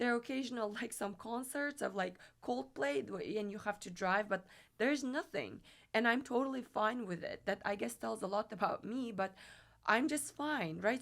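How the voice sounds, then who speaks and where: Moving at a moderate pace, a woman speaks with lively intonation at a fairly high pitch, with some vocal fry. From Kyrgyzstan. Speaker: tech startup CEO and lawyer. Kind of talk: casual interview chat. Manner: animated.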